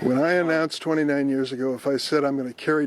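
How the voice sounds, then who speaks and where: A man with an American accent talks at a very fast pace in a fairly high pitch, his intonation flat and monotone, over noticeable background noise. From East St. Louis, Illinois. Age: 80s+. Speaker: US senator. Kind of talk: press conference answers.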